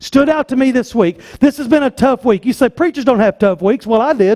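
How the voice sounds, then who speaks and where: Extremely high in pitch, a man with a Southern US accent uses lively intonation and a dark, mellow tone, with a dry, close sound and no echo. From US South. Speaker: pastor. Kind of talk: sermon. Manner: animated.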